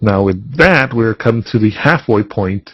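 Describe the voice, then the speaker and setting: At a moderate pace, a man talks in a medium pitch that sounds somewhat breathy. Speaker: spiritual healing course teacher. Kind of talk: webinar lecture. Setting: webinar. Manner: voice getting softer.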